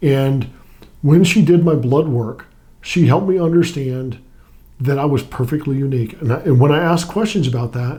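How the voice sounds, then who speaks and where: A man speaks at a moderate pace with a fairly high pitch and ordinary pitch variation. His voice is somewhat breathy, with a dark, mellow tone. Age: 60s. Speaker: weight-loss client, retired Navy pilot and FBI agent. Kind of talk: interview testimony. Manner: halting, with repeated words.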